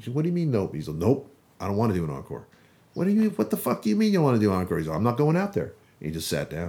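A man with an American accent, medium pitch and a dark, mellow tone, very wide pitch swings, very fast pace, on a very clean recording with a silent background. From Las Vegas, US. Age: 40s. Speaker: thrash metal guitarist. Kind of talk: casual interview chat.

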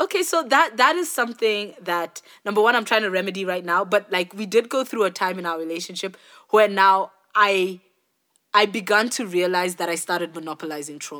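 A woman with an ordinary speaking voice talks at medium pitch and a fairly quick pace, her intonation lively. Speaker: podcast co-host. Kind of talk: casual chat.

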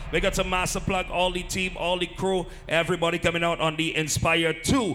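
With music in the background, a man speaks at a moderate pace in a raised, projected voice with an animated tone. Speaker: party DJ / hype man. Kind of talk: DJ patter over music at a party, shout-outs, love ups and event promo. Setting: live party at a lounge, with crowd. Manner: animated, hyped, crowd-pumping.

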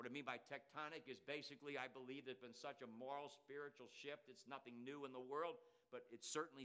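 In an American accent, a man speaks at medium pitch with a bright, sharp tone and fairly even intonation. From US Northeast, Coatesville, Pennsylvania. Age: 70s. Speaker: missionary and jail chaplain. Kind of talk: sermon. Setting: church.

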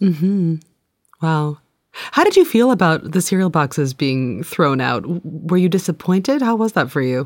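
Lively intonation at a moderate pace in an ordinary speaking voice. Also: woman, fairly low pitch for a woman. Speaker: podcast host and interviewer. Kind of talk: casual interview and chat.

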